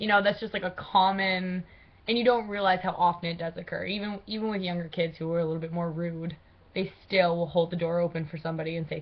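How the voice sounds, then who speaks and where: Speaking at a very fast pace, a woman sounds somewhat breathy. Her pitch is fairly low and her intonation fairly even. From Maine, Aroostook County. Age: 20s. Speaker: college student. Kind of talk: class speech. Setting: webcam recording. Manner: casual with many fillers.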